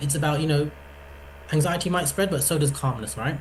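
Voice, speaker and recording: Audible room echo surrounds a man as he talks. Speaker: psychology workshop presenter. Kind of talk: online workshop talk. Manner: fast.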